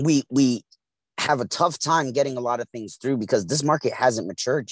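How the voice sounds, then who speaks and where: A man with an American accent talks at a very fast pace. The recording is very clean, with a silent background and a dry, close sound with no echo. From East New York, Brooklyn. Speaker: radio co-host and hemp farmer. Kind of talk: casual chat.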